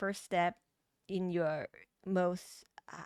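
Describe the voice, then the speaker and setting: On a very clean recording with a silent background and a dry, close sound with no echo, a woman with a Thai accent speaks at a very slow pace. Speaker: tarot reader. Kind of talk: tarot reading. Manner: halting, with fillers and restarts.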